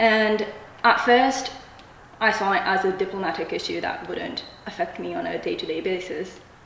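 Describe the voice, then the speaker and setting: Against noticeable background noise and audible room echo, a woman with a fairly high pitch speaks at a moderate pace with lively intonation. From Japan and Malaysia. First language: Japanese. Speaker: student writer. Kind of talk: interview.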